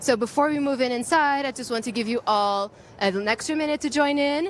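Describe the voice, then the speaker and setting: Ordinary pitch variation comes through in speech at a fairly quick pace. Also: woman, high pitch for a woman. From Portugal. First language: Portuguese. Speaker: live event host. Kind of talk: live event hosting. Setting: outdoors at a premiere, live stream. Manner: animated.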